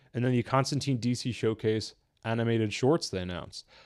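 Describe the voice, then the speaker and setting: A man with a plain, everyday voice at a medium pitch, on a very clean recording with a silent background. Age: 30s. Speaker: YouTube podcast host reviewing animated movies. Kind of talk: live reaction stream. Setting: live stream.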